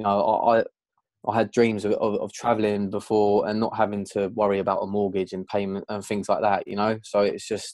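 A man speaks at a fairly quick pace with a southern English accent, his pitch fairly low and his intonation flat and monotone. The sound is dry with no echo, over a quiet background. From southern England, outside London. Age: 20s. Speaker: events sound and lighting technician. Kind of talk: interview. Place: home room. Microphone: video call.

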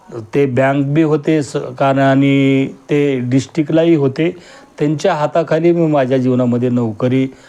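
Pitched fairly high, a man's dark, mellow tone carries fairly even intonation. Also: very even loudness. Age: 50s. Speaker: retired government auditor giving a kirtan-style discourse. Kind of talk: religious discourse.

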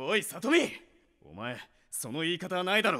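Using a cartoonish character voice, a man speaks high with a bright, sharp tone and big pitch swings. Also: moderate pace.

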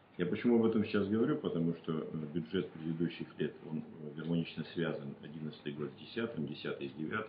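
At a moderate pace, a man with a very deep, low pitch and ordinary pitch variation speaks amid audible room echo and light background noise. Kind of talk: interview answer. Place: meeting room.

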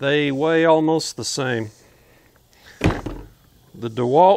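A man talks with ordinary pitch variation in a dry sound with no echo. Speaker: homesteader reviewing tools. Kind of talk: product review commentary. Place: open country.

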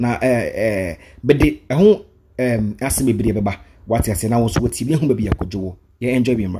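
A man with a Ghanaian accent talks at a fairly quick pace with ordinary pitch variation. Light background noise can be heard. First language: Twi. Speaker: YouTube vlogger. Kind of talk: vlog commentary. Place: studio. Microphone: studio mic.

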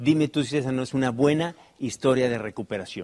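Animated in tone, a man speaks at a fairly quick pace. His pitch sits in the medium range. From Mexico City. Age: 40s. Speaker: motivational speaker. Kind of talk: motivational talk.

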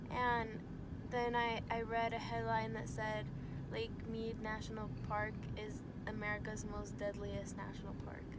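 Long, frequent pauses over loud background noise, in a dry sound with no echo. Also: woman. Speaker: vlogger. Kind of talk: travel vlog. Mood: relaxed, slightly worried storytelling. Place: car. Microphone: phone near.

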